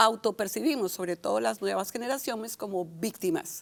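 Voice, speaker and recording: A woman talks at a moderate pace with a fairly high pitch, an animated tone and vocal fry. The recording is very clean, with a silent background. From Colombia, Barranquilla. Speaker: communication and public speaking coach. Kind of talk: casual chat.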